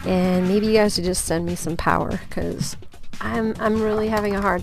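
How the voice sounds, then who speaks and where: A woman speaks over noticeable background noise. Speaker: podcast host. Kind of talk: casual podcast outro.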